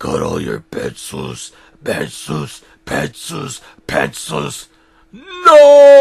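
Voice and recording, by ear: The speaker growls very slowly, using a put-on character voice.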